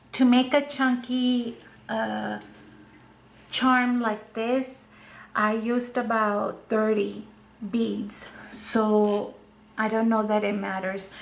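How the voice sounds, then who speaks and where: With a non-native accent, a woman speaks very slowly in a monotone, flat intonation, taking long, frequent pauses amid audible room echo. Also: fairly high pitch for a woman. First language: not English. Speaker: craft video creator. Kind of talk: tutorial. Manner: halting, with fillers.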